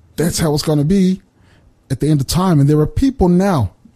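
A man speaks very fast at a fairly high pitch, somewhat breathy, with a dark, mellow tone. His pitch varies in an ordinary way, and the sound is dry and close, with no echo.

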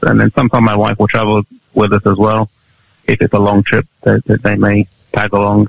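With an East Midlands accent, a man speaks at a fairly quick pace and fairly low pitch, his loudness very even and his intonation monotone and flat, in a dry, close sound with no echo. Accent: British English, East Midlands. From Nottingham, England. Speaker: youth pastor and video evangelist. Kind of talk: interview. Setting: video call from England.

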